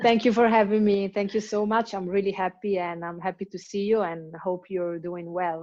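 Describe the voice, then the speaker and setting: A woman with an Italian accent speaks at a moderate pace and medium pitch, her tone dark and mellow, her intonation fairly even, with hardly any pauses. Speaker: hip hop dancer. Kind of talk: interview. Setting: video call. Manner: halting.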